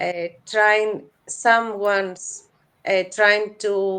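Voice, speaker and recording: A woman with a Greek accent, medium pitch and flat, monotone intonation at a very slow pace, against a quiet background. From Greece. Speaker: crypto space co-host. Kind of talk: interview. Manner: halting.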